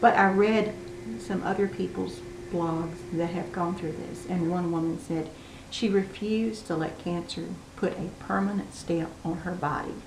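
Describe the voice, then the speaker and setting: Over noticeable background noise and audible room echo, a woman with a fairly low pitch speaks at a fairly slow pace. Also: ordinary pitch variation. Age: 60s. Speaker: video blogger with cancer. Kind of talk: casual personal vlog. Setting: home dining room, on camera.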